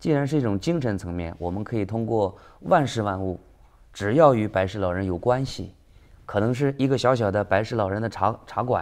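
Speaking at a fairly quick pace, a man uses a fairly low pitch with ordinary pitch variation. The background is quiet. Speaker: businessman; interview guest. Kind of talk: interview. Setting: studio. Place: studio. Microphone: lapel.

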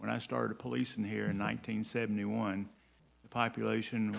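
Talking at a fairly quick pace, a man with a Southern US accent uses a fairly low pitch and ordinary pitch variation. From US South, Georgia (Fairburn). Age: 70s. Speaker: city council member. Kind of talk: council meeting remarks.

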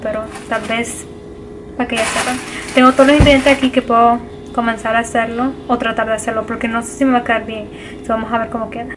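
A woman's fairly high pitch stays monotone and flat in intonation, with noticeable background noise behind her. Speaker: vlogger. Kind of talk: casual cooking vlog, code-switching Spanish and English. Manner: halting, searching for words in Spanish. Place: home room. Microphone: phone near.

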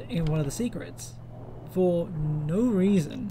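With lively intonation, a man speaks in an Australian accent at a fairly high pitch. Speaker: 3D modeller, game fan. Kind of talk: casual tutorial talk to camera.

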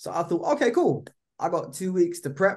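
Against a quiet background, a man talks in a British accent. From UK. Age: 20s. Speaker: actor. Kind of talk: casual interview. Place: home room. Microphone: video call.

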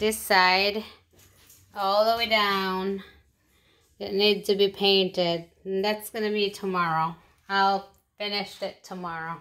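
Against a quiet background, a woman with a bright, sharp tone speaks at a fairly slow pace in a monotone, flat way, leaving long, frequent pauses. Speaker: home vlogger. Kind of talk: casual vlog chat. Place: kitchen. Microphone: phone near.

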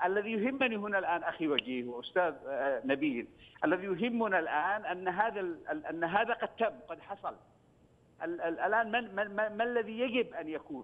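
At a moderate pace, a man talks with lively intonation at a high pitch. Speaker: member of parliament. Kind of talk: TV political discussion. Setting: phone call.

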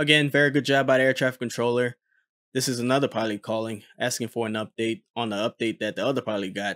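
A man at medium pitch, fairly bright in tone, fast-paced, with little pitch movement and a dry, close sound with no echo.

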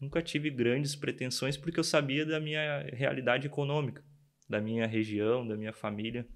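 A normal speaking voice at a fairly quick pace, with ordinary pitch variation against a quiet background. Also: man. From Rio Grande do Sul, Brazil (São Jerônimo, Eldorado do Sul); Rio Grande do Sul, Brazil. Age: 20s. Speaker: production engineer; guest. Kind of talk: interview. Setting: studio. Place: studio. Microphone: studio mic.

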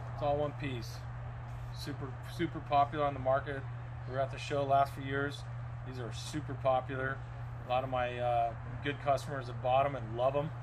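With monotone, flat intonation, the man keeps a moderate speed while background noise is noticeable. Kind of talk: product walkthrough. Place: shop. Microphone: phone near.

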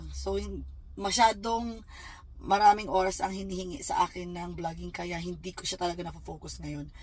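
A woman at a moderate pace, with big swings in loudness. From Philippines. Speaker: vlogger. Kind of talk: casual vlog monologue.

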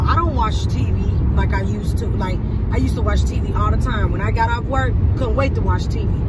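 A woman talks at a fairly quick pace over loud background noise, the sound dry with no echo. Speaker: vlogger. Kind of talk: casual vlog chat. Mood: reflective, earnest. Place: car. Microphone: phone near.

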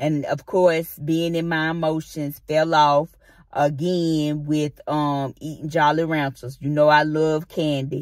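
A woman talks at a very slow pace. Her voice is very deep and low, with flat, monotone intonation. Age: 50s. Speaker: vlogger. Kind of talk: casual vlog monologue. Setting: in a car.

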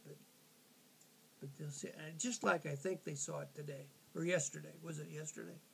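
Over light background noise, a man with a fairly high pitch, ordinary pitch variation and vocal fry speaks at a moderate pace, with big swings in loudness and long, frequent pauses. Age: 80s+. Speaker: grandfatherly advisor. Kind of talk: interview answer. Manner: hesitant, halting. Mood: warm and encouraging. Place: kitchen. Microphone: phone near.

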